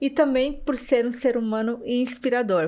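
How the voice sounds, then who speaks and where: With ordinary pitch variation and a fairly high pitch, a woman talks on a very clean recording where the background is silent. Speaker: podcast host. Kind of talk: podcast introduction.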